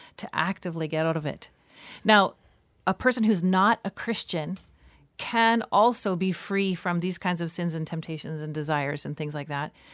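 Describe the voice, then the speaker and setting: A woman with a Canadian accent has an ordinary speaking voice, fairly low in pitch with ordinary pitch variation, speaking at a moderate pace on a very clean recording with a silent background. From Canada. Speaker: pastor, podcast host. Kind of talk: casual chat about theology.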